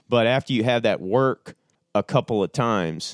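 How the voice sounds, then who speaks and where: A man speaks in an ordinary speaking voice with an American accent, at a moderate pace and with ordinary pitch variation. The recording is very clean, with a silent background. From US Midwest. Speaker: turkey and elk hunter. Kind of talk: casual chat. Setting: around a table, in person.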